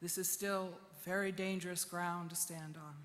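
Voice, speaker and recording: A woman talks in a space with audible room echo. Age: 60s. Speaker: poet and activist. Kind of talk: conference speech.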